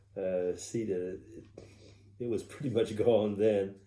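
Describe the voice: A man speaks fairly slowly at a fairly low pitch with a dark, mellow tone. His intonation is fairly even, and room echo is audible.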